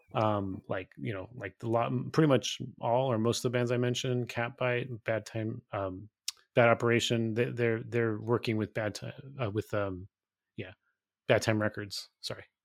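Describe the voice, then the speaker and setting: A man with an American accent speaks at a moderate pace in an ordinary speaking voice, medium in pitch with fairly even intonation. The sound is dry and close with no echo. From California, small town. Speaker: author and music podcaster. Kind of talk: interview.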